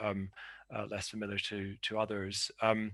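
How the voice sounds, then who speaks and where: In a Scottish accent, a man speaks at a fairly low pitch with a bright, sharp tone. His intonation is monotone and flat. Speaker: academic panelist. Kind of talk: conference paper presentation. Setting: video call. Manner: halting, many fillers and repetitions.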